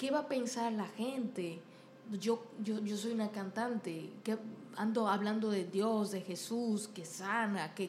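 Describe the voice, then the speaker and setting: In a room with audible echo, a woman with a fairly high voice speaks at a fairly slow pace with ordinary pitch variation. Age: 30s. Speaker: podcast host and singer. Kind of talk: casual interview chat.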